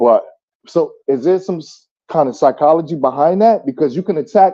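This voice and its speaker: A man in a New Jersey accent speaks at a moderate pace with lively intonation. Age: 30s. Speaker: caller on a live chat panel. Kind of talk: casual chat. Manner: halting, repeats words.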